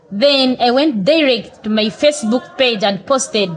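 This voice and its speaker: A woman talks at a moderate speed against noticeable background noise. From western Uganda. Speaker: barista. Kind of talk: interview storytelling.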